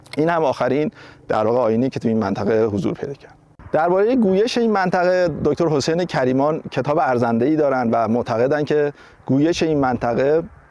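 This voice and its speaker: His intonation lively, a man with a fairly high pitch moves at a fairly quick pace. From Barg-e Jahan village, Lavasan, Iran. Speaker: researcher and author. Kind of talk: documentary interview answer.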